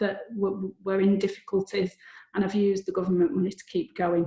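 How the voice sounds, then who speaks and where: The speaker talks in a flat monotone with a Lancashire accent. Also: woman. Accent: Bolton accent, noticeable. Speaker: lawyer presenting a seminar. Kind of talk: seminar presentation. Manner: repeats words, some hesitations.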